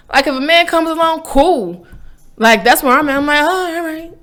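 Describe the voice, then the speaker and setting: A woman speaks in an animated tone with a high pitch and very wide pitch swings. Music plays in the background. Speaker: vlogger, faith and lifestyle channel host. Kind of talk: casual monologue rant.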